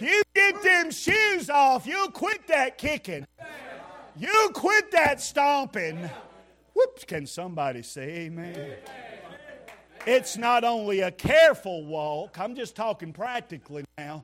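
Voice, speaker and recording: Over crowd noise, a man with an extremely high pitch speaks in a raised, projected voice at a fairly slow pace. His tone is animated, with very wide pitch swings. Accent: Southern US. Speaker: preacher. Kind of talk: fiery revival sermon, call-and-response with the congregation. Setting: church. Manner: animated, exhorting, punchy, rhetorical repetition; folksy, humorous, emotional.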